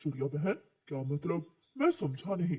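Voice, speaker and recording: A man performs a cartoonish character voice at a fairly high pitch. He keeps a moderate pace and ordinary pitch variation. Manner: gentle, warm.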